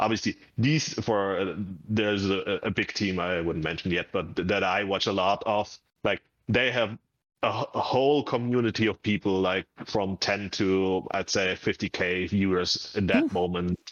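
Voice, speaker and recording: With a German accent, a man speaks at a fairly low pitch with fairly even intonation. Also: moderate pace, very even loudness. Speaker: gamer. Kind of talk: casual chat.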